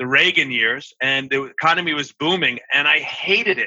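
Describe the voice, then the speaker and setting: Spoken at a moderate pace with ordinary pitch variation, this is a plain, everyday voice. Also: man. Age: 60s. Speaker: accountant and accounting firm CEO. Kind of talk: interview.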